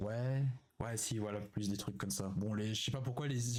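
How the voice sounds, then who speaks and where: A man talks at a fairly quick pace in a medium pitch. His voice is somewhat breathy, with fairly even intonation. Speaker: streamer. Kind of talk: live stream reaction chat. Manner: hesitant, many fillers.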